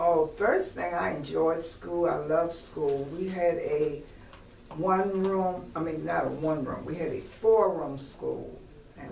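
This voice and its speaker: A woman's fairly low voice with a Virginia accent at a very slow pace, amid noticeable background noise and audible room echo. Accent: Southern US (Virginia). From US South, Virginia near Richmond. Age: 70s. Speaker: retired teacher. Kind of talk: oral history interview. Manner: hesitant, with frequent fillers.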